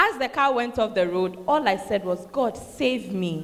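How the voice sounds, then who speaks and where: Noticeable background noise sits behind a woman talking at a moderate pace. Her fairly high voice moves through very wide pitch swings. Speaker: church emcee reading testimonies. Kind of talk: enthusiastic announcing.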